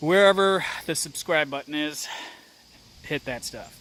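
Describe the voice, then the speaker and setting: A man speaks at a fairly slow pace. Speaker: outdoors vlogger. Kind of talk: casual vlog talk to camera. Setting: outdoors, then at home. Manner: mumbling; hesitant, low-energy.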